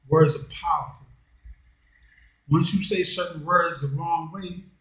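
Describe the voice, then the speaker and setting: Heard with audible room echo, a man speaks at a high pitch with fairly even intonation and big swings in loudness. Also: fairly slow pace. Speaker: commentary channel host. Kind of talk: monologue. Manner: slow; deliberate.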